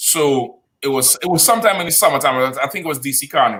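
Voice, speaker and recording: Fairly quick in pace, a man speaks with a Trinidadian accent. His pitch sits fairly high. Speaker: podcast co-host. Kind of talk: casual chat.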